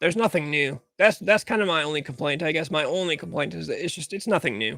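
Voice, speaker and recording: Quiet and with a dry, close sound with no echo, a man's bright, sharp voice has high pitch, lively intonation and an American accent. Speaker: livestream talk show host. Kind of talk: casual livestream chat. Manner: uneven volume, loud and quiet.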